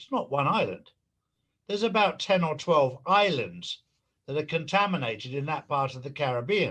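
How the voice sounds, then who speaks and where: His tone bright and sharp, a man with an English accent speaks at a moderate pace with a fairly high pitch and lively intonation. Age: 60s. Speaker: conspiracy commentator. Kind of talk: interview.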